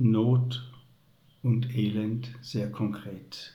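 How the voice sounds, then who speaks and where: A man's medium-pitched voice with a dark, mellow tone, somewhat breathy, fairly even intonation and audible room echo. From Upper Swabia, southern Germany. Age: 70s. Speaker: retired teacher and headmaster. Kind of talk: faith testimony interview.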